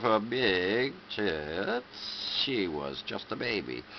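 There is light background noise behind a man's voice. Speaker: reader. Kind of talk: reading a poem or story aloud. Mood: dramatic, lurid storytelling. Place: home room. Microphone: webcam.

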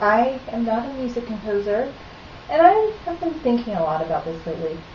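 A woman with high pitch at a moderate pace, with audible room echo and light background noise. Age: 30s. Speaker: video blogger. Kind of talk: casual monologue. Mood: earnest, mildly opinionated. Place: kitchen. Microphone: webcam.

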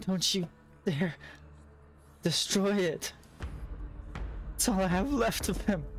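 A shrill, put-on character voice at middle pitch goes at a fairly slow pace with long, frequent pauses, and clear background noise can be heard. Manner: screeching, desperate.

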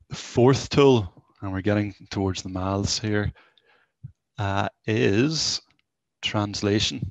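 Against a quiet background, a man speaks very slowly in a fairly low pitch with ordinary pitch variation, the sound dry with no echo. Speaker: college tech-enhanced learning mentor presenter; presenter. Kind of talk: live software demo presentation. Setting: video call with screen share. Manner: informal, conversational. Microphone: headset.

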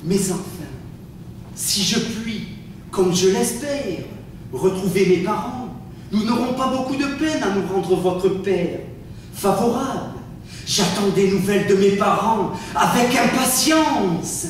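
In a strong room echo with light background noise, a man speaks very slowly at a high pitch with ordinary pitch variation and long, frequent pauses. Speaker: stage actor. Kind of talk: theatrical dialogue in French. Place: stage. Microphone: camera far.

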